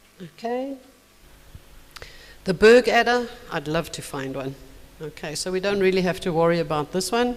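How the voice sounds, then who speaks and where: The speech moves at a moderate pace with long, frequent pauses. Noticeable background noise sits behind it. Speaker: symposium presenter on snakes. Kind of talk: conference presentation. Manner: animated.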